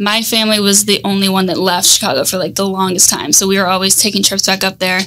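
Very fast woman's voice with an American accent, monotone, flat intonation and hardly any pauses. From US South, Tampa, Florida. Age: 20s. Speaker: marketing agency co-founder; podcast guest. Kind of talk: casual interview. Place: studio. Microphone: studio mic.

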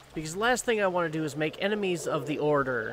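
There is noticeable background noise behind this man. His pitch varies in an ordinary way. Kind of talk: let's play commentary. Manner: casual, self-deprecating.

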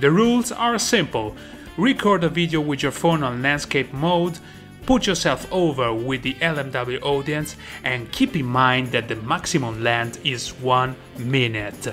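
With music in the background, a man with a fairly high pitch for a man speaks at a fairly slow pace. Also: ordinary pitch variation. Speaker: podcast host. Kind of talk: promotional announcement to camera.

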